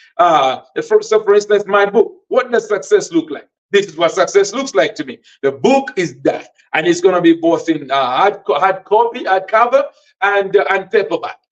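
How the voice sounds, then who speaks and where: A high-pitched man's voice with a Malawian accent. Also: lively intonation, moderate pace. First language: Tumbuka. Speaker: podcast host and author. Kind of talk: motivational teaching podcast. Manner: hesitant, with fillers and repetitions.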